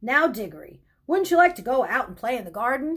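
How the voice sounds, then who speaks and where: This put-on character voice moves at a fairly quick pace. It has very wide pitch swings and big swings in loudness. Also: woman, high pitch for a woman. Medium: read story. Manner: brisk, shushing.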